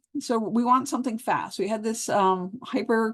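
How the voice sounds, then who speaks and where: Against a quiet background, a woman talks with lively intonation in an ordinary speaking voice. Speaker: pharmacology lecturer. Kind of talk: lecture. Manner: casual conversational.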